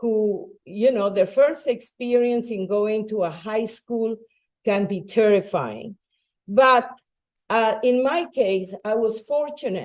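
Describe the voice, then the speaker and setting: With a Spanish accent, a woman speaks very slowly at a fairly high pitch with ordinary pitch variation. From Bolivia. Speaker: educator and nonprofit founder. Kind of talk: public talk.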